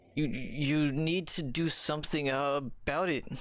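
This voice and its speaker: A man speaks in a put-on character voice that is raspy and fairly high-pitched. His pace is moderate. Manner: timid, hesitant.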